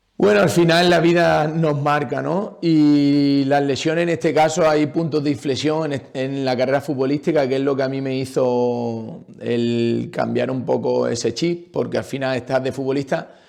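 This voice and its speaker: Barely pausing, a man speaks in an ordinary speaking voice at a fairly high pitch with ordinary pitch variation. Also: moderate pace. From Andalusia, Jaén province. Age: 30s. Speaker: retired footballer and PE teacher. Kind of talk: interview. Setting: podcast recording.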